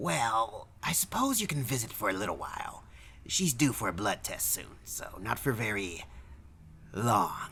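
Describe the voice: A man's put-on character voice, fairly low-pitched with vocal fry, big pitch swings, a bright, sharp tone and a fairly slow pace.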